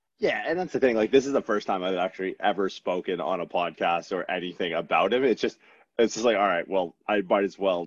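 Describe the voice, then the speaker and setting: A man with an ordinary speaking voice talks at a fairly low pitch and fairly quick pace, with ordinary pitch variation and a dry, close sound with no echo. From Newfoundland, Canada. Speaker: chiropractor and strength coach. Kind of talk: casual chat.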